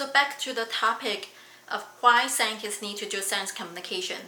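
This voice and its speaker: A woman speaks at a moderate pace. There is audible room echo and noticeable background noise. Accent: non-native. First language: not English. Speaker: PhD student and science communicator. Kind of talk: vlog monologue.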